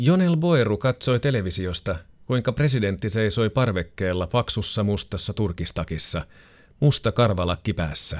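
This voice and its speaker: Fairly low in pitch, a man speaks with lively intonation. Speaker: narrator reading a magazine feature aloud. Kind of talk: scripted true-crime style narration of a magazine feature, read aloud. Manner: measured, sober and suspenseful, even storytelling pace.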